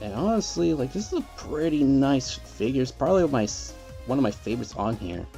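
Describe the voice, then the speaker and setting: A soft-spoken man talks with music in the background. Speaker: toy collector. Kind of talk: casual talk to camera.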